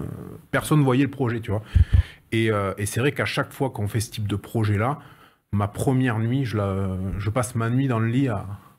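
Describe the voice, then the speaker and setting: Long, frequent pauses mark this man's speech in a very clean recording with a silent background. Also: medium pitch for a man, ordinary pitch variation, moderate pace. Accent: southern French. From southwest France (Agen, Lot-et-Garonne). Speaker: renovation project manager. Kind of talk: interview. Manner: hesitant, many fillers and repetitions.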